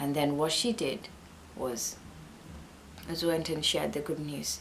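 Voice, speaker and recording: Speaking at a fairly slow pace, a woman with a very deep, low pitch is heard with audible room echo. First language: not English. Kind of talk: Bible teaching talk. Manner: halting.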